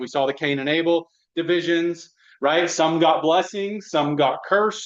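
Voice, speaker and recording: This is a man speaking. His pace is moderate. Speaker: bible study teacher. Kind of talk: bible study lesson with group discussion. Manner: halting, many repeated words and fillers.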